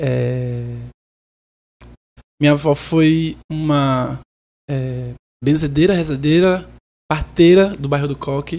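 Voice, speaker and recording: A woman's very deep, low pitch and dark, mellow tone at a very slow pace, with fairly even intonation and long, frequent pauses. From Recife, Pernambuco, Brazil. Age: 30s. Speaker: singer-songwriter. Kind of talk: podcast interview. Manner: halting.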